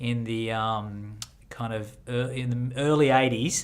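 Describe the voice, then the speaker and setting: A man with an Australian accent speaks at a medium pitch. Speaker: drummer and auctioneer. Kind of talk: podcast interview answer. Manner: casual, conversational.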